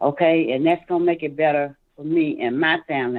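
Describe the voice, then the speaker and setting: This woman's pitch is very deep and low. She speaks at a moderate pace. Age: 60s. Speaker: caller. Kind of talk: phone-in testimony.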